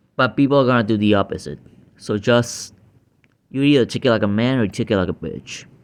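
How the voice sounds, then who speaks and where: The speaker is a man whose pitch moves in an ordinary way. He talks very fast. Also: medium pitch for a man. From Puerto Rico. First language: Spanish. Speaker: YouTube reactor. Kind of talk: reaction commentary. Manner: hesitant, many fillers.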